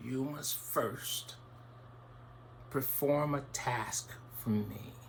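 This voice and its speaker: A put-on character voice from a man, medium in pitch, at a very slow pace over clear background noise. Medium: read story. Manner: calm, unhurried.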